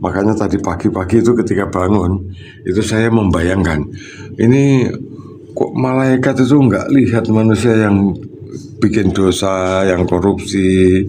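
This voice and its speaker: With noticeable background noise and audible room echo, a man talks at a fairly slow pace in very even loudness and ordinary pitch variation. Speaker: water treatment consultant vlogger. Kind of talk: casual livestream chat. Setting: high up overlooking Surabaya.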